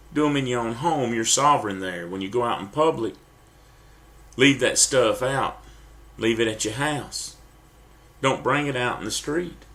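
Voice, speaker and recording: Long, frequent pauses break up a man's speech in an American accent at a moderate pace, with audible room echo. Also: medium pitch for a man, ordinary pitch variation. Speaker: preacher. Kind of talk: sermon. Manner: halting.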